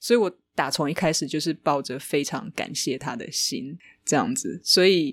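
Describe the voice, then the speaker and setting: A woman's very deep, low voice with a Taiwanese accent, very wide pitch swings and a moderate pace, in a very clean recording with a silent background. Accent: Taiwanese Mandarin. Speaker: author. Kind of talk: casual interview.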